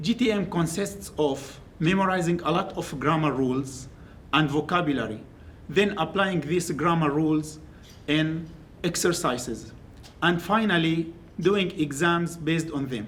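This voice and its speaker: A fairly high-pitched man with an Arabic accent, fairly slow pace, ordinary pitch variation and audible room echo. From Syria. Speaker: graduate student. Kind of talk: academic presentation. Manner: halting.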